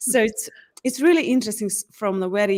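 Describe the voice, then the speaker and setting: The recording of this woman is very clean, its background silent. Her pitch varies in an ordinary way. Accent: Hungarian. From Hungary. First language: Hungarian. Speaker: certified facilitator. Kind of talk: interview.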